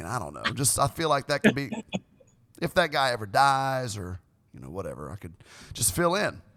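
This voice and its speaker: A man with a medium pitch talks at a fairly quick pace, with a bright, sharp tone and vocal fry. His pitch swings very widely, his loudness swings a lot, and he takes long, frequent pauses. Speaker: person recording the meeting.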